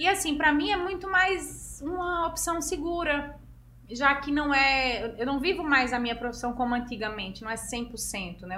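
A woman's high-pitched, raised, projected voice carries lively intonation at a moderate pace, with noticeable background noise and audible room echo. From Pernambuco interior, Brazil (Serra Talhada). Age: 30s. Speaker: fashion model. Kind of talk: interview.

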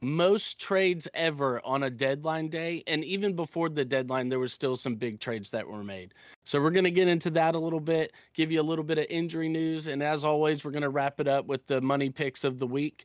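Recorded very cleanly over a silent background, a man with a plain, everyday voice talks at a fairly quick pace and fairly high pitch, with ordinary pitch variation. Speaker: sports podcast host. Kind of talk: casual banter, football review. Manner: casual, upbeat.

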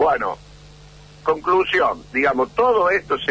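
A man talks at a fairly slow pace, noticeable background noise behind him. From Argentina, Córdoba. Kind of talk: radio interview.

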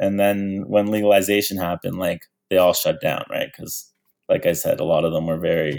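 A man with a Canadian accent at a moderate pace. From Canada, Toronto. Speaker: cannabis bonsai grower and youth sports coach. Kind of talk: casual chat.

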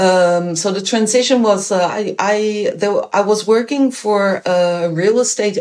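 Slowish and medium in pitch, this woman speaks with a Dutch accent. Her pitch variation is ordinary. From Netherlands. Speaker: bicycle mobility educator. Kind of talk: interview.

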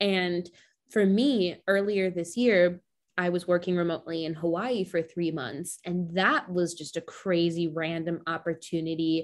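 An ordinary speaking voice comes from a woman with an American accent and a fairly low pitch. Her pitch variation is ordinary. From US. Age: 20s. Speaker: podcast host. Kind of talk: casual interview chat.

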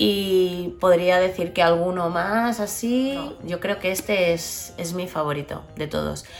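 A woman's fairly low-pitched voice at a very slow pace with hardly any pauses, plus audible room echo and noticeable background noise. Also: ordinary pitch variation. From Barcelona, Spain. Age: 30s. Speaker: podcast host, social worker and psychologist. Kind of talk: casual monologue.

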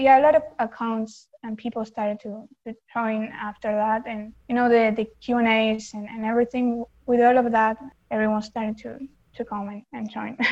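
A woman with an Argentine accent speaks at a moderate pace, her fairly high voice somewhat breathy. Her intonation is monotone and flat, while her loudness swings widely. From Argentina. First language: Spanish. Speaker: fandom account runner. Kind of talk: casual chat.

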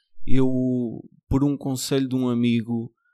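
A man with a Lisbon accent speaks at medium pitch in a dark, mellow tone. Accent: European Portuguese, Lisbon area. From Portugal, Margem Sul (Lisbon south bank). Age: 40s. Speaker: nurse. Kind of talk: casual chat.

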